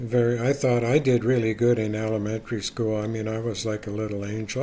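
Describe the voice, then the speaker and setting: Noticeable background noise sits under speech delivered at a moderate pace in a monotone, flat intonation. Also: man. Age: 70s. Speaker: YouTuber. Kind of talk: casual monologue. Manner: halting.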